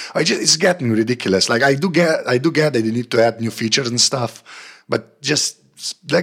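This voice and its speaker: A man talks at a fairly quick pace with lively intonation. His pitch sits in the medium range. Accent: Slovenian. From Slovenia. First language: Slovenian. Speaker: tech panelist. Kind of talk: casual chat.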